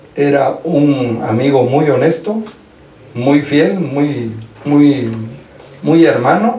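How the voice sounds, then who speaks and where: In a room with audible echo and noticeable background noise, a man speaks very slowly at a fairly high pitch with ordinary pitch variation. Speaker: lawyer, old schoolmate. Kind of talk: radio interview.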